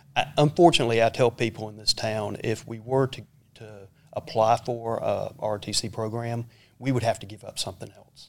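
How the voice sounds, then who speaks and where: Speaking with a Southern US accent, a man keeps a medium pitch and fairly even intonation at a moderate pace. His loudness swings a lot. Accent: Southern US (Georgia). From US South, Georgia (Lawrenceville, near Atlanta). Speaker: school superintendent, army retiree. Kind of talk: interview. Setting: studio.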